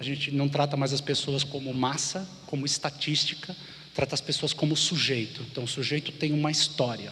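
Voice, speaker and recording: At a moderate pace, a man speaks in a fairly high pitch with monotone, flat intonation. Noticeable background noise is present. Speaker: conference speaker, design thinking consultant. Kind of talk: conference talk.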